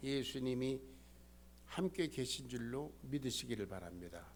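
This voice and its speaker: Room echo is audible as a man talks at a medium pitch. He speaks at a fairly slow pace. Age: 70s. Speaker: pastor. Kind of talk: sermon.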